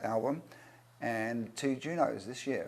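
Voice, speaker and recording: This voice has an English accent and ordinary pitch variation. The pace is fairly slow. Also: man. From England. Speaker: record producer, singer-songwriter. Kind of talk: interview. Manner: hesitant, many fillers.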